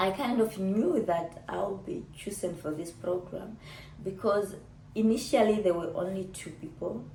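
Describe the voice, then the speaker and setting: With vocal fry and a dark, mellow tone, the voice moves at a moderate pace with lively intonation, carrying audible room echo. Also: woman. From Namibia. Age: 30s. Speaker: YouTuber. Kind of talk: casual vlog chat.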